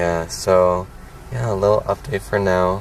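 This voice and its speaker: A man speaks at a very deep, low pitch. Noticeable background noise is present. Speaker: vlogger. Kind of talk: story time vlog; casual chat. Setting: in a car. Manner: animated.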